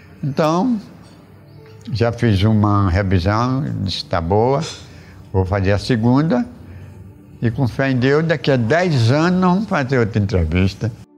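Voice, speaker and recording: Over music in the background, a man at medium pitch speaks at a fairly slow pace with very wide pitch swings, very even loudness, and long, frequent pauses. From Arapiraca, Alagoas, Brazil. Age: 70s. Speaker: elderly local resident interviewee. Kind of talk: interview. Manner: halting, repetitive.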